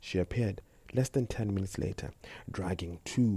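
Someone does plain reading aloud. The pitch varies in a normal way.

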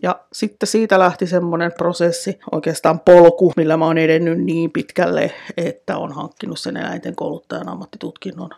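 A woman with an unremarkable speaking voice talks at a fairly low pitch and a moderate pace, with hardly any pauses. Her intonation stays fairly even while her loudness swings widely. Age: 40s. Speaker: dog trainer. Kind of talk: solo podcast monologue.

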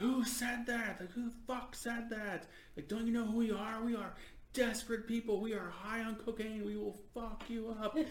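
A man shouts in a high, put-on character voice at a moderate pace, monotone and flat. There is slight echo and clear background noise. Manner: screaming, aggressive.

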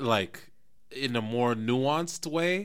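Lively intonation from a man in a very clean recording with a silent background. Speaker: podcast co-host. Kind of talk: casual chat.

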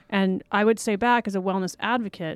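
Speaking in a normal speaking voice with an American accent, a woman at medium pitch keeps a moderate pace and fairly even intonation in a dry, close recording with no echo, very clean and with a silent background. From Los Angeles, US. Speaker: wellness advocate, online yoga business owner. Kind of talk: casual interview. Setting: studio.

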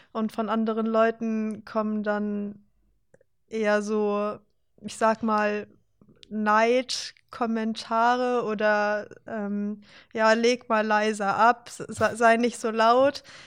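On a very clean recording with a silent background, a woman speaks very slowly in a monotone, flat way at a fairly high pitch. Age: 20s. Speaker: student and competitive powerlifter. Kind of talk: casual chat. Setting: studio.

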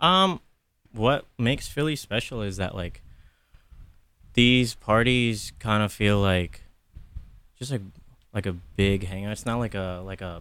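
Speaking at a fairly slow pace with long, frequent pauses, a man with an American accent has a fairly low pitch, ordinary pitch variation and a bright, sharp tone. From New Jersey. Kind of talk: casual interview. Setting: radio studio.

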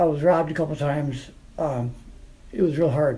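A somewhat breathy voice with a dark, mellow tone speaks at a moderate pace amid audible room echo. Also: man. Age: 50s. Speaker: formerly homeless veteran. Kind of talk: personal testimony. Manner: halting.

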